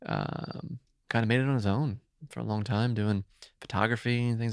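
A man with an American accent speaks at a moderate pace in a normal speaking voice, fairly low in pitch with ordinary variation. The sound is dry and close, with no echo. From New Jersey. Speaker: co-working space founder. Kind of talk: casual chat.

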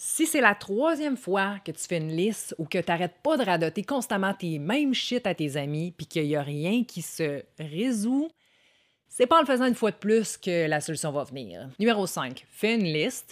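In a very clean recording with a silent background, a woman speaks with a Quebec accent. Her medium pitch moves in very wide swings. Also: moderate pace. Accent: Québécois French. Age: 30s. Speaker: content creator. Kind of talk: self-help monologue. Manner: casual.

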